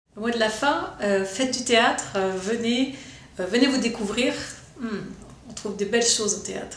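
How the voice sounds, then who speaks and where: A woman with a fairly high voice talks at a moderate pace, with ordinary pitch variation and long, frequent pauses, over noticeable background noise and audible room echo. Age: 50s. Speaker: drama teacher. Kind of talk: promotional interview.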